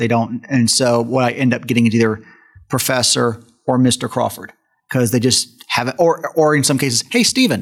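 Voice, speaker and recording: At a moderate pace, a man speaks at a medium pitch in a normal speaking voice. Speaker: podcast host and co-host. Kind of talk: casual panel discussion.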